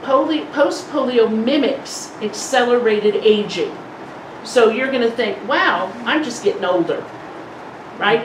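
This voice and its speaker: A woman talks at a fairly slow pace with a fairly high pitch and ordinary pitch variation. Audible room echo and noticeable background noise are present. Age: 60s. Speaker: polio support group speaker. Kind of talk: presentation to a support group. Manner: conversational.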